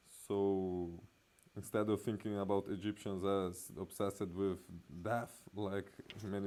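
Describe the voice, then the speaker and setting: A man's fairly low, dark and mellow voice at a fairly slow pace, in monotone, flat intonation. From Brazil. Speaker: art and symbolism video essayist. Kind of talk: illustrated talk. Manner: halting.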